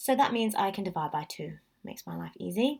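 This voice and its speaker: A woman talks at a fairly quick pace in a medium-pitched voice with vocal fry. Her tone is animated. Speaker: maths teacher. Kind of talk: tutorial.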